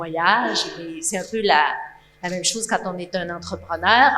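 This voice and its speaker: At a fairly slow pace, a woman speaks in a medium pitch with ordinary pitch variation against noticeable background noise. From Quebec. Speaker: audience member. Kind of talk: audience question.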